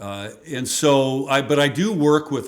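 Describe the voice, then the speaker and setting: A man with an American accent talks at a very slow pace. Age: 60s. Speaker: former state legislator and radio talk show host. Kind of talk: casual interview chat.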